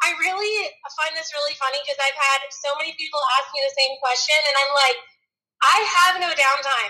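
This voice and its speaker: A woman with a high pitch speaks at a moderate pace in a raised, projected voice. Her tone is energetic, bright and sharp, with ordinary pitch variation. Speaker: horse trainer and barrel racer. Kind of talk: casual chat.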